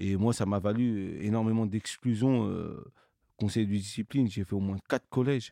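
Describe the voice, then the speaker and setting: A man speaks at a fairly slow pace with fairly low pitch and fairly even intonation. His tone is dark and mellow, and the sound is dry and close with no echo. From Paris suburbs, France (Cergy-Pontoise). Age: 30s. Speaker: association founder, entrepreneur. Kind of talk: interview. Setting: studio.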